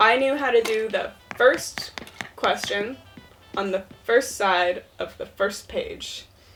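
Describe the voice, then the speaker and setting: Over music in the background, the speaker goes at a fairly slow pace. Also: woman. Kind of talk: casual storytelling and gameplay chat.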